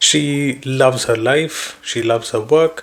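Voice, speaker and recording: A man with a Keralan accent, fairly even intonation and noticeable background noise. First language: Malayalam. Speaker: book reviewer. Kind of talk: book summary talk. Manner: hesitant with fillers.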